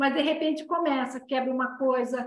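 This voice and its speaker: The woman's voice is high, her intonation fairly even, and she talks at a moderate pace. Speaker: Reiki and dowsing teacher. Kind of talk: online class lecture.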